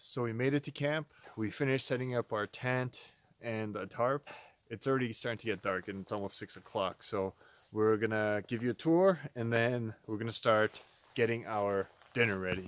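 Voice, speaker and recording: In a dry sound with no echo, a man speaks at a moderate pace using ordinary pitch variation. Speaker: backpacking vlogger. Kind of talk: casual vlog chat. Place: forest. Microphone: phone near.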